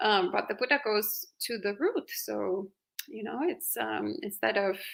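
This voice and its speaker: A woman with an Italian accent. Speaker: Buddhist monastic. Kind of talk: live Q&A dharma talk.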